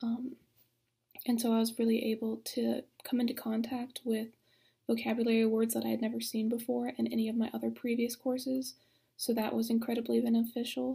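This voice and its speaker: Against a quiet background, a woman speaks at a fairly quick pace with very even loudness. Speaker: university student. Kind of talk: testimonial. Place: home room. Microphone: webcam.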